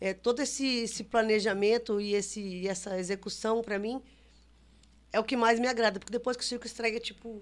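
A woman's unremarkable speaking voice, fairly high in pitch, with fairly even intonation against a quiet background. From Brazil, São Paulo, grew up touring. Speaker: circus director. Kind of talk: podcast interview.

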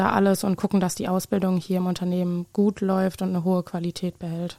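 On a very clean recording with a silent background, a woman at medium pitch speaks with a dark, mellow tone and a moderate pace. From Obertshausen, Hesse. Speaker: trainee industrial clerk. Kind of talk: interview. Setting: studio.

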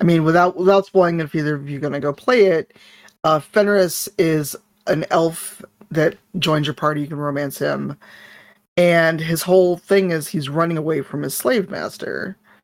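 In a plain, everyday voice, a woman speaks at a fairly low pitch with ordinary pitch variation and an American accent. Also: moderate pace. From Chicago, US Midwest. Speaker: tabletop game player and streamer. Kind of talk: casual chat.

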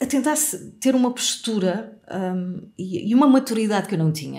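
A woman talks with lively intonation. Her tone is dark and mellow, somewhat breathy. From Portugal, Algarve. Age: 40s. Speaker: radio host and communication coach. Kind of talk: interview.

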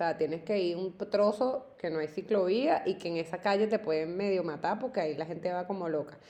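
A woman with a plain, everyday voice speaks at medium pitch at a fairly quick pace, with ordinary pitch variation and hardly any pauses. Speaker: podcast co-host. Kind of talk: casual chat.

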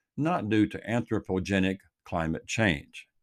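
Over a silent background in a very clean recording, a man talks with a Texan accent. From Texas Gulf Coast. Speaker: commentator. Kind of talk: reading aloud.

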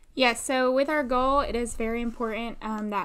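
A woman's plain, everyday voice at a fairly quick pace, with fairly even intonation. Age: 20s. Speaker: podcast co-host, dental assistant. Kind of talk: casual faith podcast chat.

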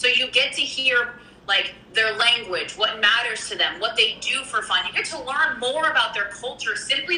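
A woman with an American accent and a high pitch speaks at a moderate pace with lively intonation, amid audible room echo and noticeable background noise. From US Midwest, Kansas. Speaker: network marketer. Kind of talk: casual interview.

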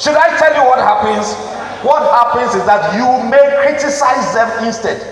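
Over noticeable background noise, a man speaks at a moderate pace in an animated tone, his pitch extremely high with ordinary variation. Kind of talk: sermon. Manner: animated, exhorting, call-and-response with the congregation; urgent, emphatic prophetic pronouncements.

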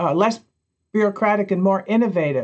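An ordinary speaking voice from a woman, medium in pitch with ordinary pitch variation. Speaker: podcast co-host, city innovation officer. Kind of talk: casual chat.

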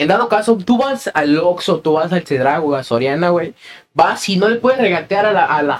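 A man's high voice, full of lively intonation, moves at a fairly quick pace. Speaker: podcast co-host. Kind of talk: casual chat.

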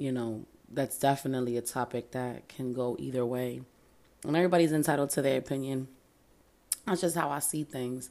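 A woman with an American accent speaks at a moderate pace in a very deep, low pitch. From Reading, Pennsylvania. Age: 30s. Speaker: podcast host. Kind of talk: casual solo monologue.

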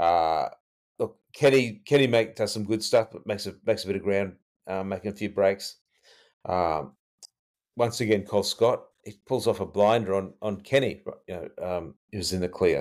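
A man speaks in a fairly low voice with an Australian accent. His loudness swings a lot. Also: ordinary pitch variation, moderate pace. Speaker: podcast co-host and rugby league fan. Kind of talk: casual chat, retrospective game analysis.

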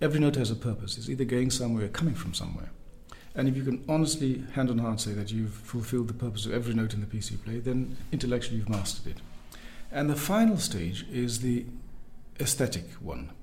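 Very fast delivery from a man, audible room echo around it. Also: medium pitch for a man, ordinary pitch variation. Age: 50s. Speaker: double bassist. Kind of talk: interview. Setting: in person. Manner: soft-spoken; careful, precise.

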